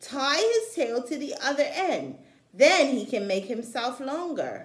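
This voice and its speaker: A woman's put-on character voice, high in pitch. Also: fairly slow pace. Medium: read story.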